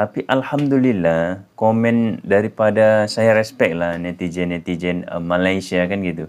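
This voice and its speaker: A man talks with hardly any pauses. His pitch is fairly low, with ordinary variation. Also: fairly slow pace. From Indonesia. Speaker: YouTuber; vlogger. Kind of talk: casual vlog. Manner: hesitant, many fillers. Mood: warm, grateful. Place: home room. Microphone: phone near.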